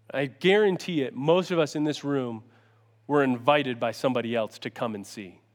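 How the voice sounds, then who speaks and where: A man with an Upstate New York accent and a fairly high pitch talks at a fairly quick pace with lively intonation on a very clean recording with a silent background. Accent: Upstate New York American. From US Northeast, Syracuse NY. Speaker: youth pastor. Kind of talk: sermon. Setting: church stage with audience. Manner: loud; animated.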